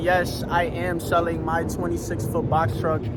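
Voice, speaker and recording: A man speaks at a high pitch. The room echo is audible, and there is noticeable background noise. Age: 20s. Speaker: trucking owner-operator and vlogger. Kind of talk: casual vlog talk.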